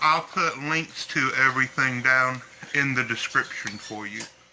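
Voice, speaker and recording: A man speaks at a medium pitch with a Southern US accent and fairly even intonation. Background noise is noticeable. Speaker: bird breeder. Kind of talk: tutorial. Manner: halting.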